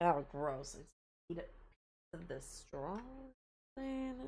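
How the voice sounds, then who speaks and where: Audible room echo surrounds a woman whose loudness swings in big jumps. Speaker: video game streamer. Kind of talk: live game stream chat. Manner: casual, chatty with fillers.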